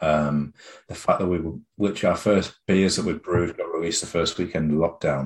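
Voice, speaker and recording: This is a man with a British accent. His pitch is very deep and low. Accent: UK English. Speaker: head brewer. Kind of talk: casual interview chat.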